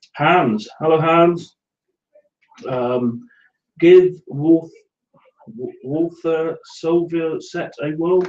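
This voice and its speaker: At a very slow pace with long, frequent pauses, a man with a Somerset accent talks at a high pitch, with ordinary pitch variation and big swings in loudness. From England, Somerset. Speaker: scale modelling live show co-host. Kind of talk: casual live show chat reading viewer comments. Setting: live video hangout.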